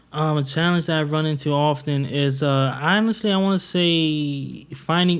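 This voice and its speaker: The speaker has an American accent and a moderate pace. The intonation is fairly even. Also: man. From US South, North Carolina. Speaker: DJ and producer. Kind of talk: casual chat. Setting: studio. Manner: quiet.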